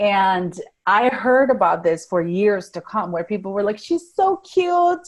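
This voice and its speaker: A medium-pitched woman's voice at a moderate pace, with very wide pitch swings and a Spanish accent. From Venezuela. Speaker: life coach. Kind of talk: podcast interview.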